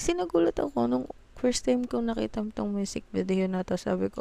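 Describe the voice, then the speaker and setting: A woman with a dark, mellow tone speaks at a medium pitch and a moderate pace. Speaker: music reaction video creator. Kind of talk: casual reaction commentary.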